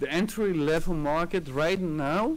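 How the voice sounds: At a fairly slow pace, a man with a non-native accent talks at a fairly high pitch with ordinary pitch variation.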